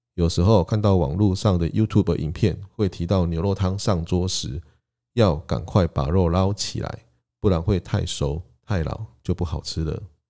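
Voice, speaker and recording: Over a silent background in a very clean recording, a man with a Taiwanese accent speaks at a moderate pace, his very deep, low pitch and dark, mellow tone showing ordinary pitch variation. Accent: Taiwanese Mandarin. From southern Taiwan (Tainan and Kaohsiung). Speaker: podcast host. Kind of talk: solo podcast monologue, alternating Taiwanese Hokkien and Mandarin.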